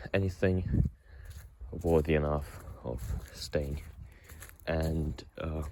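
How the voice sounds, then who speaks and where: Carrying a non-native accent, a man speaks with a very deep, low pitch, a dark, mellow tone and vocal fry. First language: not English. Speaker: vlogger. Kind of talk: personal confessional monologue. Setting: outdoors, walking. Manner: halting, many fillers and repetitions.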